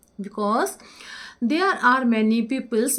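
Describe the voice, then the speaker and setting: Someone with an Indian accent speaks at a fairly slow pace with lively intonation. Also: woman. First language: Hindi. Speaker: English teacher. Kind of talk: tutorial.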